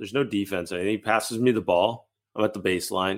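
With an American accent, a man speaks at a fairly quick pace in an ordinary speaking voice, with ordinary pitch variation. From Massachusetts. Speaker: basketball podcast co-host. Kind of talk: casual chat.

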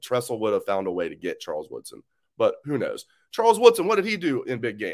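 A man's speech at a very fast pace. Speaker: sports podcast host. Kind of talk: casual solo sports talk.

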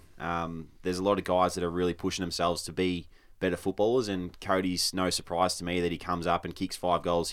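A man with an Australian accent speaks in a very deep, low voice at a fairly quick pace, his intonation flat and monotone. The recording is very clean, with a silent background. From rural Victoria, Australia. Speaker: professional footballer. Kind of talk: casual chat. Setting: studio.

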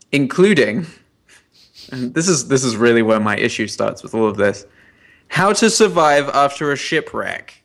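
Speaking at a moderate pace with long, frequent pauses, a man with an American accent uses a fairly high pitch and very wide pitch swings on a very clean recording with a silent background. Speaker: podcast co-host. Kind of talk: casual chat. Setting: at home.

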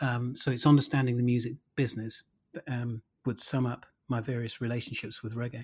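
Somewhat breathy, a man delivers his words in a flat monotone. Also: medium pitch for a man, fairly quick pace. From Birmingham, England (Handsworth). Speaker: music lecturer and former reggae musician. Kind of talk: interview monologue.

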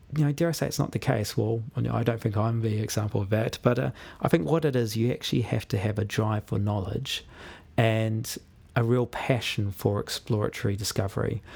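A man with a New Zealand accent, medium in pitch and somewhat breathy, at a fairly quick pace with ordinary pitch variation. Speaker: university lecturer, animal welfare scientist. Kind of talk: casual interview. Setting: studio.

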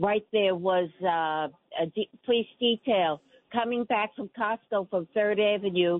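A woman's medium-pitched voice with ordinary pitch variation and a fairly slow pace. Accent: New York. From New York City (Queens). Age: 80s+. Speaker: caller. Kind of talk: radio call-in. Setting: phone call.

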